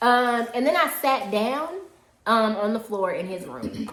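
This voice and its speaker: Amid audible room echo, a woman speaks in an animated tone with lively intonation. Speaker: YouTuber co-hosting a storytime live. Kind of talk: casual storytime chat. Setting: livestream. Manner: loud.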